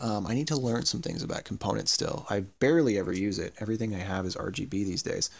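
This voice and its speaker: Lively intonation marks a man's speech, captured on a very clean recording with a silent background. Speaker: electronics hobbyist YouTuber. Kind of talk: tutorial. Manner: fast; hesitant with many fillers.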